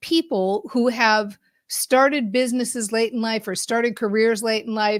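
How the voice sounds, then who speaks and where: A woman's animated tone at a fairly slow pace, in a very clean recording with a silent background. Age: 60s. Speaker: podcast host and business mindset coach. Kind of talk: live show monologue. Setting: live stream.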